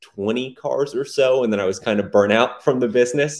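Speaking at a moderate pace, a man with an American accent has a medium pitch, ordinary pitch variation and an unremarkable speaking voice. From Texas, Dallas area. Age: 20s. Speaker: software entrepreneur. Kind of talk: interview.

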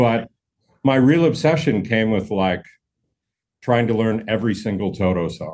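A man with a Canadian accent uses an ordinary speaking voice with ordinary pitch variation. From Canada, Manitoba (Brandon). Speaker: session drummer. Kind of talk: casual interview chat.

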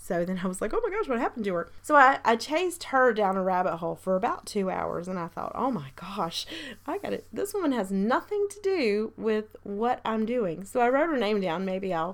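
A woman speaks at a moderate pace in a medium pitch, with lively intonation and few pauses.

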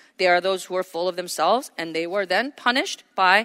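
Over a silent background in a very clean recording, a woman speaks with a bright, sharp tone. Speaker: preacher. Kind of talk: sermon. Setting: church.

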